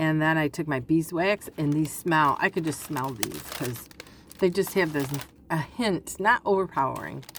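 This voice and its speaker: A woman at a very deep, low pitch and moderate pace, with ordinary pitch variation amid noticeable background noise. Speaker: crafting channel host. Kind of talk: casual craft show-and-tell.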